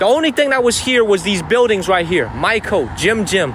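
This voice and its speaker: Over noticeable background noise, a man talks at a fairly quick pace with lively intonation and an animated tone. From China (Zhenjiang, Jiangsu). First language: Chinese. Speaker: live streamer. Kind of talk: live-stream walking vlog. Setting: outdoors, walking on the street at night.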